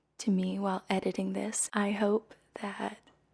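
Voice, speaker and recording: Soft-spoken and somewhat breathy, a woman talks at a fairly slow pace in a medium-pitched voice with a dark, mellow tone. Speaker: singer. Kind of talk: casual talk to camera. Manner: soft-spoken, quiet.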